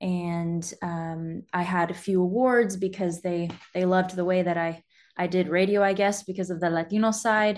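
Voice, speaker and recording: A woman with an American accent speaks in an unremarkable speaking voice, with fairly even intonation at a moderate pace against a quiet background. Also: medium pitch for a woman. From California. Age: 20s. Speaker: former military broadcast journalist. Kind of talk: interview.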